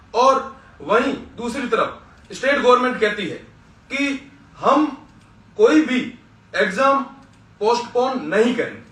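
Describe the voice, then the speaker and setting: With audible room echo and noticeable background noise, a man speaks at an extremely high pitch with ordinary pitch variation and long, frequent pauses. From western Rajasthan, Barmer district. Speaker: student leader. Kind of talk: political speech. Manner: impassioned.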